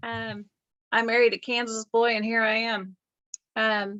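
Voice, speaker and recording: Speaking with a Southern US accent, a woman has a fairly high pitch. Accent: Southern drawl. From US South. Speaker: real estate agent. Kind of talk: casual video chat. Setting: video call.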